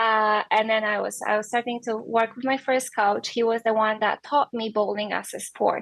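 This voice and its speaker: With a Polish accent, a woman speaks at a moderate pace in a fairly high pitch. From Poland. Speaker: professional bowler. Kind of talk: podcast interview.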